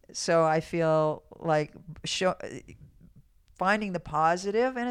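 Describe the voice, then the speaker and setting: Here is a woman with a normal speaking voice. Her pitch sits fairly low, with ordinary pitch variation. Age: 60s. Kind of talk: casual interview conversation.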